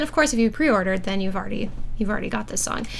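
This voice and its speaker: Audible room echo and noticeable background noise surround the speaker. She is a woman with a fairly high pitch. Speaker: harpist and composer hosting a livestream. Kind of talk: livestream album listening party chat. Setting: livestream. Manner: casual with many fillers.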